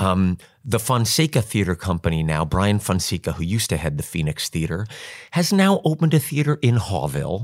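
Speaking in an American accent, a man uses a fairly low pitch with very wide swings at a fairly quick pace. The recording is very clean and dry, close with a silent background and no echo. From New York. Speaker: stage actor. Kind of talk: casual chat.

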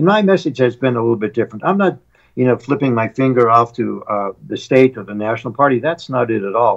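A man talks in an ordinary speaking voice at a medium pitch. His pace is fairly quick. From US Midwest, rural North Dakota. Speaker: congressional candidate. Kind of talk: interview.

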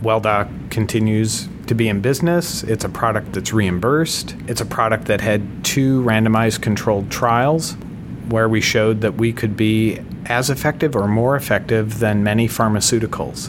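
Against noticeable background noise, a man with medium pitch and ordinary pitch variation talks at a moderate pace, keeping his loudness very even. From US Midwest, Minnesota. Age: 50s. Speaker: medical device technology leader. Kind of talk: interview.

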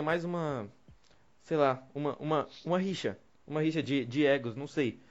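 A man with a fairly high pitch talks over music in the background. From Brazil. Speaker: podcast host. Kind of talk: casual chat.

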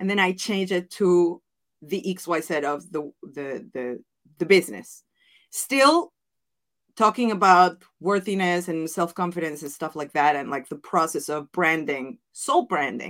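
Recorded very cleanly over a silent background, a woman speaks at a fairly slow pace and fairly low pitch, her intonation lively and her loudness swinging widely. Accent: Mexican. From Mexico. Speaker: business coach and former wedding planner. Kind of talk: interview podcast.

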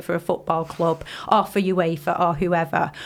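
A fairly low-pitched woman's voice with noticeable background noise. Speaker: football fan panelist. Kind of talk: casual chat.

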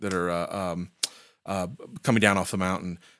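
A man with an American accent speaks in a very clean recording with a silent background. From US Midwest, Indiana. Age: 40s. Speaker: composer and music professor. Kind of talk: casual interview. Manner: halting, many fillers.

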